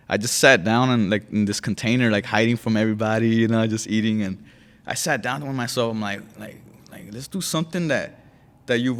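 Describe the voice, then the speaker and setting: Speaking very fast with an American accent, a man uses a medium pitch and ordinary pitch variation. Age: 20s. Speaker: gym member, podcast guest. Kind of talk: casual interview.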